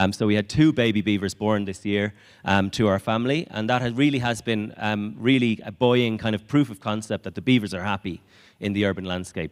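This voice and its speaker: On a very clean recording with a silent background, a man speaks fairly quickly with an Irish accent, a fairly low pitch and ordinary pitch variation. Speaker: conservation project speaker. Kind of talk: conference talk. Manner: hesitant, many fillers.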